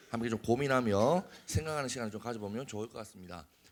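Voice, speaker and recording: A man speaks with a Busan accent. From Korea, Busan. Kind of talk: lecture to youth. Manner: casual, joking.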